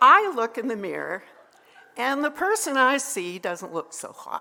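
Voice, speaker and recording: Raised and projected, a woman's high voice with a Canadian accent moves at a fairly slow pace, swinging very widely in pitch and loudness over noticeable background noise. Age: 70s. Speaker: psychotherapist sharing faith story. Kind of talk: personal testimony to an audience.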